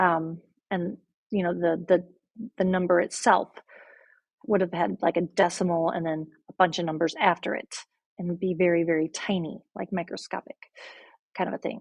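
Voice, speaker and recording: A woman's fairly low voice, flat and monotone, broken by long, frequent pauses, in a dry, close sound with no echo. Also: moderate pace. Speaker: math teacher. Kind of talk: lecture.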